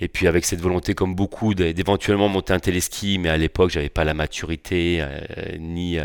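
Speaking at a moderate pace with fairly even intonation, a man with a very deep, low pitch comes through a very clean recording with a silent background and a dry, close sound with no echo. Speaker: water ski park owner. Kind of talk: casual interview. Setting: on location at his park.

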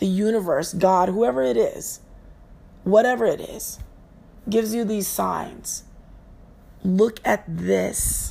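Very slow female speech broken by long, frequent pauses. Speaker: yoga teacher and podcast host. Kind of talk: solo motivational talk. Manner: casual, conversational.

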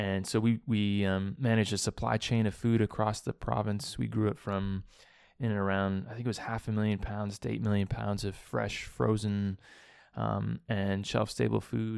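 A man with a Canadian accent, an ordinary speaking voice, fairly low in pitch, ordinary pitch variation, a moderate pace, and a very clean recording over a silent background. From Saskatchewan and Hamilton, Ontario, Canada. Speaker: social enterprise director. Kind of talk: interview. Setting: office in Toronto.

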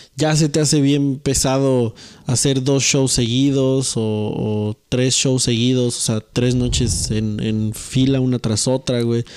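A man with a Mexican accent speaks at a very slow pace, his pitch medium. His tone is dark and mellow, and his intonation is fairly even. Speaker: podcast co-host. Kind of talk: casual chat.

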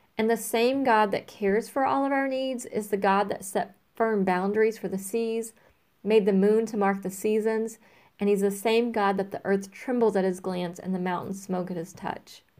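In an ordinary speaking voice with an American accent, a woman of medium pitch speaks at a moderate pace with fairly even intonation, on a very clean recording with a silent background. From Louisiana, US South. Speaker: church member. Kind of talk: personal reflection.

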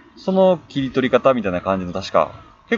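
The man's voice sits at a medium pitch. It swings very widely up and down. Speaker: music fan guest. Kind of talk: casual chat.

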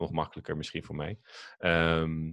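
Recorded very cleanly against a silent background, a man speaks with a very deep, low pitch and a dry, close sound with no echo. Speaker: podcast host. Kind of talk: casual podcast interview.

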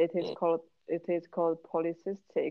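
With monotone, flat intonation, a woman talks at a moderate pace. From China. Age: 20s. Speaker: podcast co-host. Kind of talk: casual chat.

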